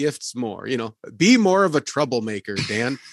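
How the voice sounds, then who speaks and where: Over a quiet background, a man with a medium pitch talks at a fairly slow pace in a dry, close sound with no echo. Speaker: pastor, podcast host. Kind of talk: casual interview conversation. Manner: blunt.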